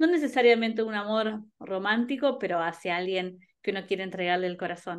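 Against a quiet background, a woman at medium pitch talks at a fairly quick pace with ordinary pitch variation. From Argentina, Buenos Aires (early years in Ayacucho); Buenos Aires, Argentina. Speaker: singer; interviewee. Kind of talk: interview; interview answer. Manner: halting, many repetitions and fillers. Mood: warm, friendly. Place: home room. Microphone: video call.

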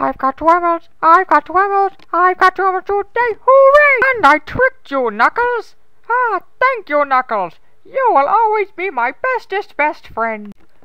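A cartoonish character voice with very wide pitch swings. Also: woman, extremely high pitch for a woman, moderate pace. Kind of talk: parody abridged dub. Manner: gleeful, gloating, childishly triumphant.

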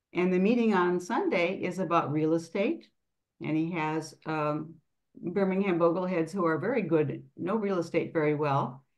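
A woman speaks at a moderate pace with a fairly low pitch. She has an unremarkable speaking voice and ordinary pitch variation. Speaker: meeting moderator. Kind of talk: moderating Q&A. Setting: video call.

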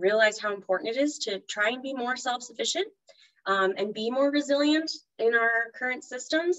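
A woman talks at a fairly quick pace with lively intonation. The background is quiet. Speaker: presenter. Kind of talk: webinar talk. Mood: warm, enthusiastic. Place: home room. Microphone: video call.

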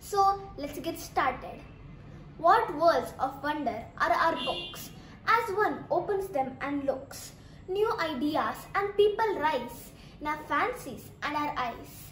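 A woman with a high pitch and very wide pitch swings, speaking at a very slow pace over noticeable background noise. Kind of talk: poetry reading.

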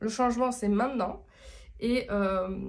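Moderate in pace, a woman talks with ordinary pitch variation. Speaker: tarot reader and spiritual medium. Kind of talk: tarot reading video monologue. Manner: casual, chatty with frequent hesitations.

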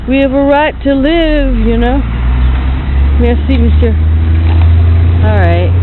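Noticeable background noise sits under a dry sound that has no echo. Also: woman. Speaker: video blogger. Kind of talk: casual walking vlog monologue. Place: street. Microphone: phone near.

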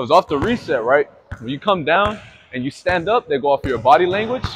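At a moderate pace, a man talks over light background noise. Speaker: basketball trainer. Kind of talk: tutorial. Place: hall.

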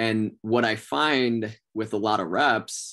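At a very slow pace, a man speaks with fairly even intonation over a quiet background. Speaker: sales trainer. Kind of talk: training talk. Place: home room. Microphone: video call.

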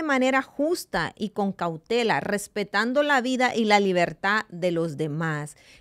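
Against a quiet background, a woman speaks at a fairly slow pace in an animated tone with very wide pitch swings. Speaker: radio host. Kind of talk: devotional talk. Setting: studio. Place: studio. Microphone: studio mic.

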